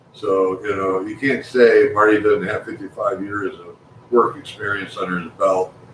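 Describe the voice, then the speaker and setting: With noticeable background noise, a man speaks at a moderate pace, his loudness swinging widely. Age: 60s. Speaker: amateur astronomer and builder. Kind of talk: live stream chat.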